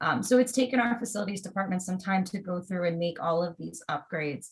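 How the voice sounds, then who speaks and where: A woman's medium-pitched, somewhat breathy voice at a very fast pace. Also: ordinary pitch variation. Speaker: school district staff presenter. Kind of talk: presentation on video call.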